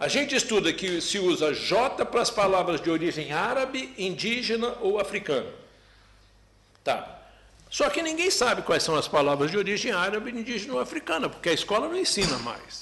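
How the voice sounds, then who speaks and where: Amid noticeable background noise, a man in a Brazilian accent speaks with a high pitch and very wide pitch swings. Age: 70s. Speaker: professor. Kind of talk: parliamentary hearing testimony. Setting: closed-door parliamentary hearing.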